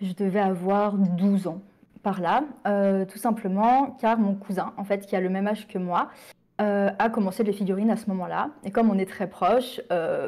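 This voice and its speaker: A woman's medium-pitched voice with a dark, mellow tone, fairly even intonation and moderate pace, on a very clean recording with a silent background. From France, Sarthe (Pays de la Loire). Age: 20s. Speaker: miniature painting youtuber. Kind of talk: casual interview. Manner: hesitant, many fillers.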